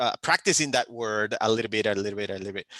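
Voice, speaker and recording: A bright, sharp male voice in a dry, close sound with no echo. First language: not English; speaks three languages. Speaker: panelist, community leader. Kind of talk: panel discussion. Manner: halting, many repetitions and fillers.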